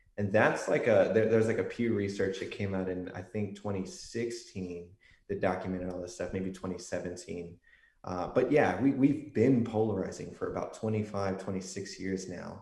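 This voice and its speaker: The voice is somewhat breathy, with an American accent. Audible room echo surrounds it. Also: man, fairly low pitch for a man, ordinary pitch variation, moderate pace. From Texas, San Antonio. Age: 20s. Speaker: political science researcher. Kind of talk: podcast interview.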